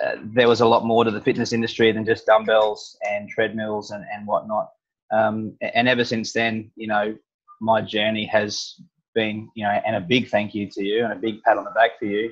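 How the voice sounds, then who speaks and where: A man speaks in a flat monotone against a quiet background. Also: moderate pace. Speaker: interviewer host. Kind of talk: interview question, casual chat. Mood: warm, appreciative. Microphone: earbuds.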